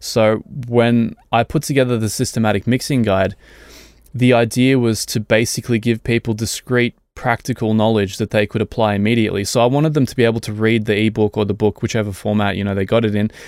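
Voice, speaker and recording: The speech moves at a very fast pace. The recording is very clean, with a silent background and a dry, close sound with no echo. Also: man, medium pitch for a man, fairly even intonation. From Germany. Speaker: mixing engineer. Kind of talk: casual chat.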